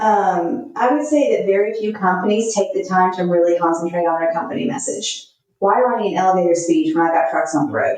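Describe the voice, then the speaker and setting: At a fairly quick pace and with hardly any pauses, a woman with an American accent speaks at a medium pitch with lively intonation. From US South, Texas/Louisiana. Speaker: marketing consultant. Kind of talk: podcast interview.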